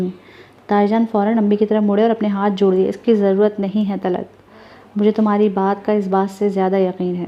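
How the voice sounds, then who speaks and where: Noticeable background noise beneath a woman's monotone, flat intonation. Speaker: voice over narrator reading a novel. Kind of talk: audio novel narration.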